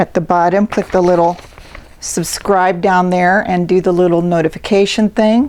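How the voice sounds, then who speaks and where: Here a woman talks in a monotone, flat intonation. Noticeable background noise runs underneath. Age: 60s. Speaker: self-help video host. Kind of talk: motivational talk to camera. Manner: casual, conversational.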